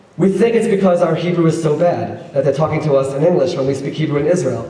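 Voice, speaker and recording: With an American accent, a man talks at a very fast pace in a high voice with ordinary pitch variation. Audible room echo and noticeable background noise surround him. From United States. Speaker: politician and rabbi, former educator. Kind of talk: speech to an audience. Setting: stage with audience.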